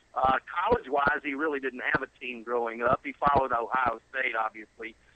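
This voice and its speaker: Against noticeable background noise, a man of medium pitch speaks fairly quickly with a Southern US accent and fairly even intonation. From South Carolina. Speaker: son of a sports broadcaster. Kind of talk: interview. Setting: phone call.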